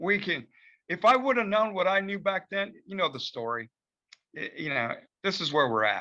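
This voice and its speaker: A man's high, raised and projected voice, bright and sharp in tone, with very wide pitch swings and long, frequent pauses. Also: moderate pace. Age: 60s. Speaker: film director. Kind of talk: casual advice talk in virtual meeting. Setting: video call. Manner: hesitant, many fillers.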